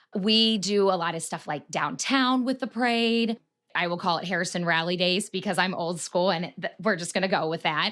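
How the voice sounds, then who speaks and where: Here a woman speaks with a Midwestern American accent. Her medium-pitched voice moves at a moderate pace with ordinary pitch variation. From Marion, Ohio. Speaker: funeral director. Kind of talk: interview answer.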